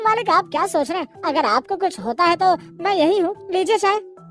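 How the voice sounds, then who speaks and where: Clear music plays behind a cartoonish character voice delivered at a fairly quick pace. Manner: obedient, earnest.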